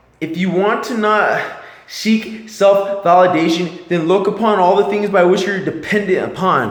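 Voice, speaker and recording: A man talks at a high pitch and a moderate pace. Noticeable background noise and audible room echo surround him. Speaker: motivational vlogger. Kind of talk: motivational monologue. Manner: mumbling; animated.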